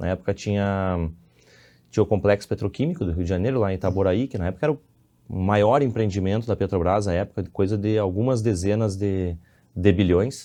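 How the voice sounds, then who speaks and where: With a Rio Grande do Sul accent, a man speaks in a dark, mellow tone at a fairly quick pace, with ordinary pitch variation over a quiet background. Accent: southern Brazilian Portuguese (gaúcho). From Brazil, Rio Grande do Sul (Santa Maria). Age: 30s. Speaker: civil engineer and businessman. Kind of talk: podcast interview. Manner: halting, with repetitions.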